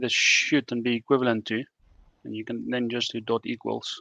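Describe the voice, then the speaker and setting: Over a quiet background in a dry sound with no echo, a man speaks at a moderate pace with monotone, flat intonation. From South Africa. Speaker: software developer; guest. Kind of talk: technical discussion. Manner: halting. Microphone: video call.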